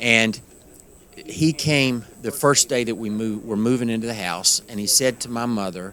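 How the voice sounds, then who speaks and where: A man with an Appalachian accent speaks at a moderate pace and medium pitch. His tone is bright and sharp, with ordinary pitch variation. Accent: Appalachian twang. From Western North Carolina, Appalachian mountains. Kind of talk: interview. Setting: conference.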